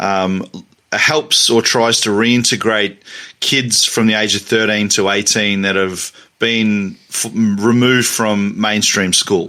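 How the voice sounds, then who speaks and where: Very slowly and with fairly even intonation, a man with a fairly low pitch speaks in a bright, sharp tone. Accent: Australian. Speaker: academic and teacher. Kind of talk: interview. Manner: halting, many fillers and repetitions.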